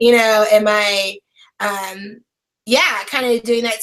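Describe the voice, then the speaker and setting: Her intonation stays monotone and flat. The woman's pitch sits fairly high. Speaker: online brand and business strategist. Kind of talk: interview. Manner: loud.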